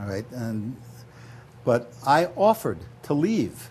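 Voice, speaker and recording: With a dark, mellow tone, a man speaks in a somewhat breathy voice whose pitch swings very widely. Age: 70s. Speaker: political candidate. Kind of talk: interview.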